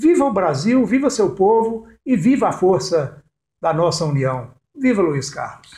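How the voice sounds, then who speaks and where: Amid audible room echo, a man with a high pitch and dark, mellow tone talks at a fairly slow pace, his pitch swinging very widely. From Brazil, Jequitinhonha Valley, Minas Gerais. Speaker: cultural producer and storyteller. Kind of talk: interview.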